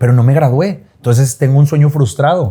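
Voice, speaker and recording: Somewhat breathy and dark, mellow in tone, a man's fairly high voice moves at a fairly quick pace with ordinary pitch variation. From northern Mexico, Monterrey. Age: 30s. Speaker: TV host and actor. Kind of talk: interview conversation.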